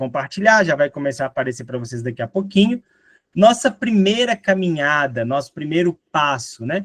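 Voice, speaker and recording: Speaking with a mineiro accent, a man uses a fairly high pitch with very wide swings at a moderate pace. The sound is dry and close, with no echo. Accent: mineiro (Minas Gerais) Portuguese. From Minas Gerais, Brazil. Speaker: teacher. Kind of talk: lecture. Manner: conversational, frequent fillers.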